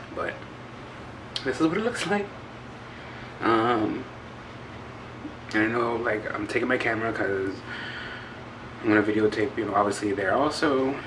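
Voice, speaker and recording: With fairly even intonation and a fairly low pitch, a man speaks at a moderate pace with long, frequent pauses, over noticeable background noise and audible room echo. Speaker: vlogger. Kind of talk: casual vlog talk. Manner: hesitant.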